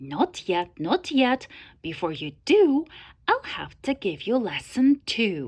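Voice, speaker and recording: Against a quiet background, a woman puts on a character voice, high-pitched and fairly slow, with very wide pitch swings. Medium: read story. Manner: self-assured, lecturing.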